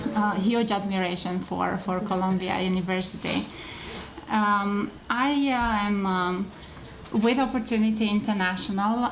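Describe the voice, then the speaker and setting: With a Romanian accent, a woman talks at medium pitch over noticeable background noise, with audible room echo. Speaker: microfinance executive. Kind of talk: panel presentation. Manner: halting, many fillers.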